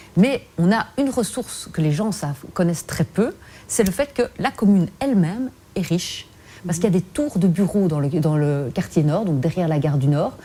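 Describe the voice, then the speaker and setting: Somewhat breathy and dark, mellow in tone, a woman speaks at a moderate pace in a fairly low voice with very wide pitch swings. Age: 40s. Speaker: politician. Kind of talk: TV interview.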